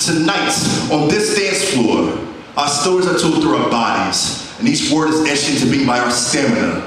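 Strong room echo and light background noise surround a man with a fairly high voice. He speaks at a moderate pace with lively intonation. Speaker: spoken word poet. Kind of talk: spoken word poetry performance. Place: stage.

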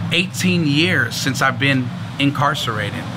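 An American accent with ordinary pitch variation and a moderate pace, over noticeable background noise. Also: man. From San Francisco, California. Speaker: pastor; speaker. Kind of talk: sermon. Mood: earnest, warm testimony. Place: street.

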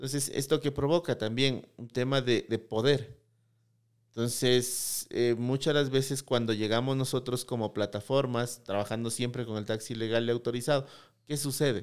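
The man speaks at a moderate pace with fairly even intonation. His background is quiet. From Ecuador, Loja province; Ecuador. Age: 30s. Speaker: tech startup CEO; guest. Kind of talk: interview. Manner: halting, many repeated words. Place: studio. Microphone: studio mic.

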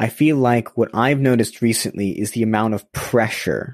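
A man has an ordinary speaking voice with an American accent. His pitch is medium and his intonation fairly even. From US West Coast, then UK. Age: young. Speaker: social entrepreneur. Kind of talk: casual interview conversation. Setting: remote call.

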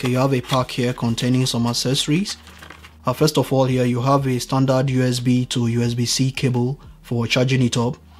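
A man's monotone, flat delivery at a moderate pace, over light background noise. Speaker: tech reviewer. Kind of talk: unboxing tutorial commentary. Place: home room.

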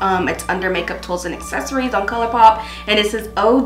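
A woman talking at a fairly quick pace, with audible room echo and faint music in the background. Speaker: beauty vlogger. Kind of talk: casual vlog chat. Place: home room.

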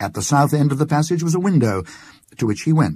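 Here a man speaks with a dark, mellow tone. His voice is somewhat breathy. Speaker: actor. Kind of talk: ghost story reading.

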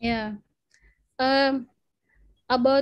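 Against a quiet background, a woman speaks with an Indonesian accent. Her pitch is high and her intonation fairly even. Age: 20s. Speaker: biomedical researcher; presenter at teacher club. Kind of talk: lecture. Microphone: video call.

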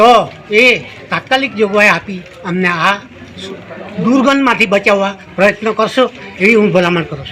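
A man with a high pitch raises and projects his voice, his pitch varying in an ordinary way. His loudness swings widely over noticeable background noise. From south Gujarat, India. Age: 70s. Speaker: farmer. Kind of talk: news interview statement.

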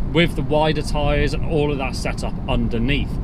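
A man's moderately paced speech has a dry sound with no echo, set against loud background noise. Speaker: presenter. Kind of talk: car review commentary. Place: car.

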